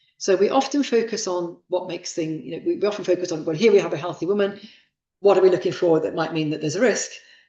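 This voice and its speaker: Very fast speech with audible room echo. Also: woman, medium pitch for a woman, ordinary pitch variation. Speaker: professor giving a guest lecture on childbirth. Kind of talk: lecture. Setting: lecture hall with live audience and online stream.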